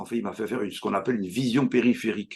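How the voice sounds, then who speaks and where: A man talks with vocal fry. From France, Brittany (Châteaubriant). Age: 70s. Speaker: hypnotherapist. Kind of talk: interview. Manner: halting.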